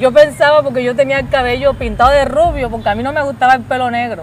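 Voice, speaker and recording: An animated, high-pitched woman's voice against noticeable background noise. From Colombia, Cartagena. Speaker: singer giving testimony. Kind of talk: testimony.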